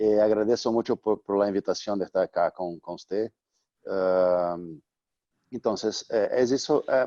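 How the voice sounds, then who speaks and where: A man speaks at a fairly slow pace in a fairly low voice with a dark, mellow tone and ordinary pitch variation. The sound is dry and close with no echo, over a quiet background. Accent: Portuguese. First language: Portuguese (speaking Spanish). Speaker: artist. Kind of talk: interview. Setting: video call. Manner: halting.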